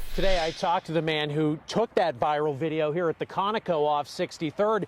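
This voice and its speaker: A man with an ordinary speaking voice, fairly high pitch, ordinary pitch variation and a fairly quick pace, in a dry, close sound with no echo. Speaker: television news reporter. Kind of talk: TV news reporter package.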